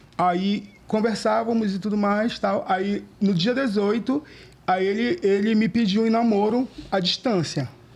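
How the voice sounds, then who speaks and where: With a high voice, a man talks at very even loudness and ordinary pitch variation. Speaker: podcast guest. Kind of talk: casual chat. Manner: fast.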